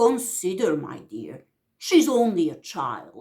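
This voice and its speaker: A growling, put-on character voice at middle pitch swings very widely in pitch at a fairly slow pace. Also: female-sounding voice. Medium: read story. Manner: timid.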